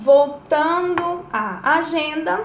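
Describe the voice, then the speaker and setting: A woman speaks with a Goiás accent. Noticeable background noise and audible room echo fill the recording. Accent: Goiás accent (goianês), noticeable. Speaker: life coach. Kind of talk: live-stream talk to viewers, advice. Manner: casual, chatty.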